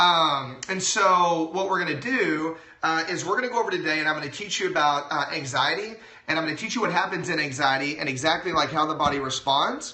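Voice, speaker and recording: Amid noticeable background noise and audible room echo, a man with an American accent talks at a fairly quick pace, his fairly high pitch showing ordinary variation. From Texas. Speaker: chiropractor. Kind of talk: live-stream health talk. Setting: live video stream. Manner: loud.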